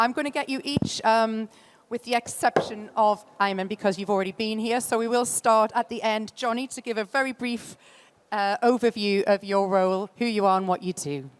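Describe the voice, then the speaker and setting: A woman with a Geordie accent speaks at a moderate pace in a fairly high pitch. Her pitch variation is ordinary, and the sound is dry and close with no echo. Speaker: conference moderator. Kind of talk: panel moderation.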